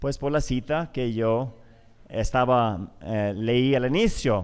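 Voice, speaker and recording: A man at a very slow pace. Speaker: conference speaker. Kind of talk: lecture. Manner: halting.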